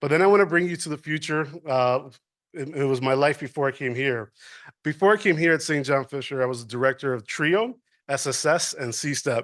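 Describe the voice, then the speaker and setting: Against a quiet background, a man talks at a fairly quick pace with fairly high pitch and ordinary pitch variation. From New York City, Washington Heights. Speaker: university administrator. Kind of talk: public talk.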